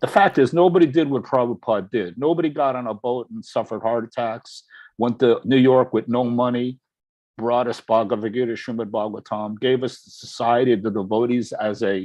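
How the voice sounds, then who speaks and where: A man with an American accent talks at a fairly quick pace and a medium pitch. His pitch varies in an ordinary way while his loudness swings widely. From USA. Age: 60s. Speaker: religious devotee. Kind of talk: testimony. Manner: animated.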